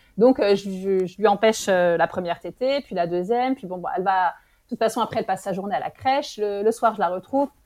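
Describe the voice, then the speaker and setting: A woman talks at a fairly quick pace with a medium pitch and ordinary pitch variation. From France. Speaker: early childhood professional. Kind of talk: interview. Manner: halting.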